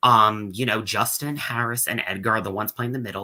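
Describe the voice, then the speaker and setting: Recorded very cleanly against a silent background, a man talks at a fairly quick pace with medium pitch, ordinary pitch variation and a bright, sharp tone. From US Northeast, Long Island, New York. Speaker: reality show contestant. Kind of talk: exit interview. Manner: filler-heavy casual speech.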